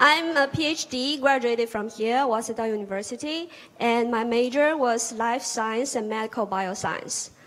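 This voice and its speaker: Speaking at a moderate pace in a Chinese accent, a woman uses a fairly high pitch with ordinary pitch variation. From China, Hangzhou. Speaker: audience member, PhD graduate. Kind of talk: audience question. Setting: auditorium with audience.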